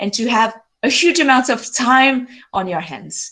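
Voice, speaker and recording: A woman speaks with a French accent at a fairly slow pace. Her high pitch makes very wide swings. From France, French Alps. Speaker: glaciologist. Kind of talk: lecture. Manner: animated.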